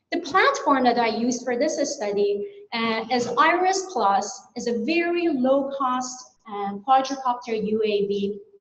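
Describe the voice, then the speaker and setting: There is audible room echo as a woman speaks with a Persian accent at a high pitch. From Iran. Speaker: plant science researcher. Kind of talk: conference presentation. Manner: some hesitations and restarts.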